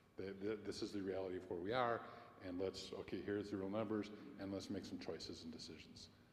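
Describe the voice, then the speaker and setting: Audible room echo carries a man's fairly low-pitched voice as he speaks at a very fast pace with monotone, flat intonation. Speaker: congregation member. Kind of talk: meeting discussion. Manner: loud; projecting.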